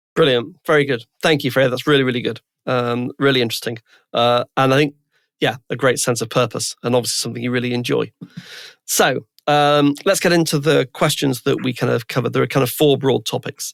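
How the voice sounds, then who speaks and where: A man talks at a fairly quick pace with vocal fry and a medium pitch. His intonation is fairly even, and the sound is dry and close with no echo. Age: 60s. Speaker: podcast host. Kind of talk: casual interview chat. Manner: hesitant, many fillers.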